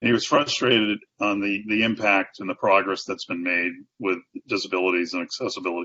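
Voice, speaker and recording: Speaking very fast with fairly even intonation, a man talks with an American accent. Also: fairly low pitch for a man. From Boston. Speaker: sales and marketing executive. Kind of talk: interview answer.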